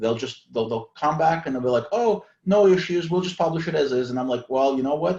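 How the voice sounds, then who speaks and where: This man talks at a fairly quick pace with hardly any pauses, his fairly high pitch carrying a dark, mellow tone and lively intonation. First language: not English (English is third language). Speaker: author. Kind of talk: casual chat.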